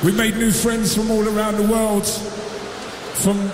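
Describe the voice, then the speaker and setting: Amid noticeable background noise, a man speaks fairly slowly in a high, animated voice. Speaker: festival MC. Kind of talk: festival MC hype, crowd-pumping stage announcements. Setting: stage with large festival audience. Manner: loud, animated, high-energy crowd hype.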